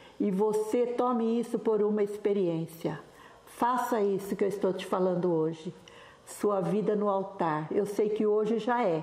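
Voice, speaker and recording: Over noticeable background noise and audible room echo, a woman speaks at a fairly slow pace with a medium pitch and ordinary pitch variation. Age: 70s. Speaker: pastor's widow. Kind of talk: interview.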